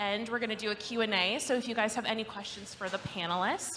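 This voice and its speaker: A woman talks at a fairly high pitch while noticeable background noise carries on. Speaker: panel moderator. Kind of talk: panel discussion moderation. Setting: live event with audience.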